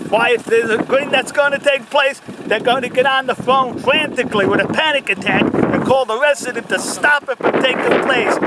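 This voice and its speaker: Against noticeable background noise, a man with an American accent and an extremely high pitch talks at a fairly quick pace with hardly any pauses. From USA. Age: 60s. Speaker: activist vlogger. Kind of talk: casual chat. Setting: outdoors. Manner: animated.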